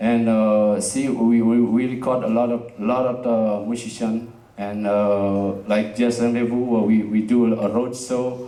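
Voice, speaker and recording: Over noticeable background noise and audible room echo, a man with a non-native accent speaks at a fairly slow pace and medium pitch, with monotone, flat intonation, very even loudness and hardly any pauses. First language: Indonesian. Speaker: jazz festival director and community space founder. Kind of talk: presentation to live audience. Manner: halting, many fillers.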